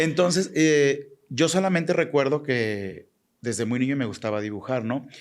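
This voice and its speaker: The speaker is a man with a normal speaking voice. He talks at a fairly slow pace with lively intonation. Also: fairly high pitch for a man. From Mexico, Jalisco. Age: 40s. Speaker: fashion designer. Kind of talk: interview.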